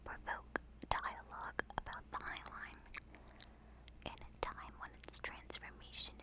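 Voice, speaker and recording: Over noticeable background noise, someone whispers at a fairly slow pace. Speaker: ASMR video creator and walking-tour narrator. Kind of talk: ASMR whispered walk-and-talk history narration. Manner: whispered, soft-spoken.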